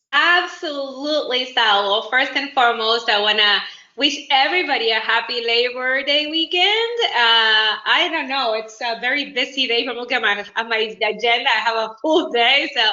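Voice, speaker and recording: A woman with a Uruguayan accent speaks at a moderate pace and a high pitch with ordinary variation, over noticeable background noise. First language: Spanish. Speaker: independent business owner. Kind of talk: networking self-introduction. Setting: video call.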